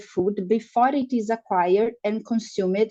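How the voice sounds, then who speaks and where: A woman with a non-native accent talks in a dark, mellow tone with fairly even intonation. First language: Portuguese. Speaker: nutrition researcher. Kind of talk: lecture. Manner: slow; halting.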